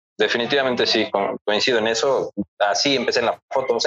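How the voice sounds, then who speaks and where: Speaking at a fairly quick pace, a man is heard in a dry, close sound with no echo. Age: 30s. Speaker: photographer. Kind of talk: casual chat.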